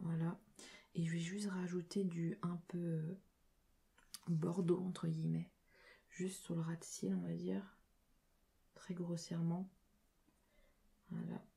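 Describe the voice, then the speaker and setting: A soft-spoken, somewhat breathy woman talks at a very slow pace with long, frequent pauses. Her fairly low voice has a dark, mellow tone and monotone, flat intonation. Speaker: ASMR creator. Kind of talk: casual talk to camera while doing makeup. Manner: soft-spoken, low voice.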